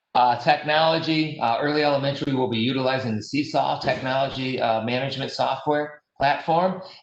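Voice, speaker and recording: Amid audible room echo, a man with a fairly high pitch talks with hardly any pauses and fairly even intonation. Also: fairly quick pace. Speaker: school district administrator. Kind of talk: virtual town hall presentation. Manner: hesitant, many fillers.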